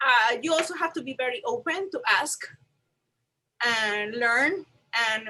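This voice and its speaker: A woman in a Puerto Rican accent, fairly high in pitch with ordinary pitch variation, bright and sharp in tone, at a very slow pace. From Puerto Rico. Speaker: museum registrar. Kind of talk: panel discussion.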